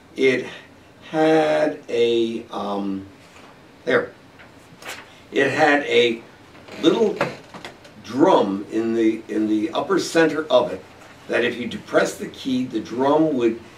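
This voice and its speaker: Amid noticeable background noise and audible room echo, a man speaks at medium pitch with lively intonation, at a very slow pace with long, frequent pauses. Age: 70s. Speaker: local historian. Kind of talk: interview. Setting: studio. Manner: halting with fillers.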